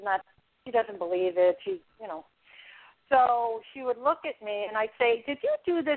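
A woman with a New York accent, a fairly high pitch, lively intonation and a fairly quick pace. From New York City (the Bronx). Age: 60s. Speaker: author. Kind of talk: interview.

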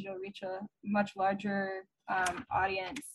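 A woman speaks at a medium pitch, her voice somewhat breathy. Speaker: breathwork practitioner. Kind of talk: casual group discussion. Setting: video call.

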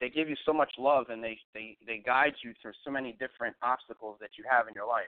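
A man's normal speaking voice at medium pitch and a fairly quick pace, with hardly any pauses and big swings in loudness. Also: fairly even intonation. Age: 40s. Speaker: radio host. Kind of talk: live radio talk show.

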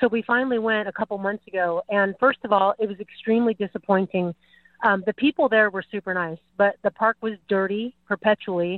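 An ordinary speaking voice from a woman of medium pitch, with fairly even intonation and a fairly quick pace. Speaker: caller. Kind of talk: call-in talk radio. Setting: phone call.

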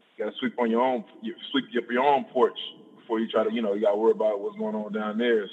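Fairly quick talk from a man amid clear background noise. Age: 30s. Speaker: professional football player. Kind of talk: casual interview. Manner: halting, many filler words.

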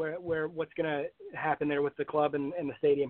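The speaker is a man. He has an American accent. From Aberdeen, Scotland and US Midwest. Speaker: supporters club organizer. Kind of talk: casual chat.

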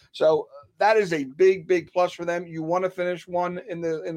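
A man's high voice with fairly even intonation. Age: 50s. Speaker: sports writer and betting contributor. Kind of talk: casual chat.

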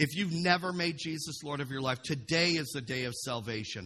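Raised and projected, a man's voice carries a bright, sharp tone. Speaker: pastor. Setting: church with congregation. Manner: fervent, breathless run-on delivery, words tumbling together without pause; exclamatory and call-and-response, punctuated by amen, come on, woo.

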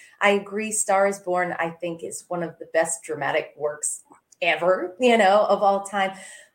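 A normal speaking voice moves at a moderate pace with fairly even intonation. Its loudness swings a great deal. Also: woman, medium pitch for a woman. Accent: American. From US South, small-town Georgia. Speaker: singer. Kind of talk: casual chat.

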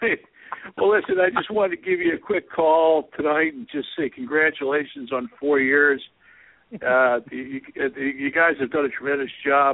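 A man has an unremarkable speaking voice at fairly high pitch. He talks at a moderate pace with ordinary pitch variation. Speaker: caller. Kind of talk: joking banter.

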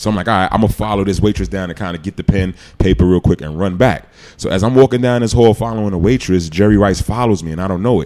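With a New York accent, a man talks at a very fast pace in a fairly low voice with ordinary pitch variation. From New York City, Queens. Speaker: retired NFL player. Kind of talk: casual chat. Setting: studio.

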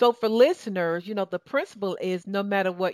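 On a very clean recording with a silent background, a woman with a southern Georgia accent sounds dry and close, with no echo. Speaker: talk show host and success coach. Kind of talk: radio talk show interview. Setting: radio studio. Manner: animated.

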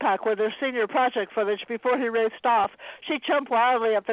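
Text is read out loud in a natural voice. The pitch contour is fairly even.

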